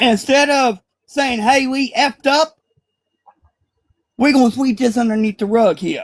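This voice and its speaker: A man speaks with an extremely high pitch and an animated tone. His pitch variation is ordinary. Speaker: panelist. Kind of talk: panel discussion. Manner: loud, animated.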